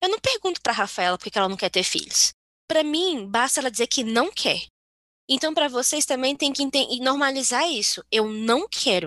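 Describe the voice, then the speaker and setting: A woman with a high voice speaks at a moderate pace with very wide pitch swings and very even loudness. The sound is dry and close, with no echo. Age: 20s. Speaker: podcast co-host. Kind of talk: casual chat. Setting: video call.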